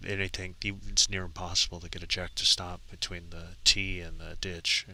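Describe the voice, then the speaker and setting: A man with an American accent speaks quietly at a very deep, low pitch. His tone is bright and sharp, his intonation monotone and flat. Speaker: lawn bowls commentator. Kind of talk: live commentary. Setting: outdoors at a bowling green.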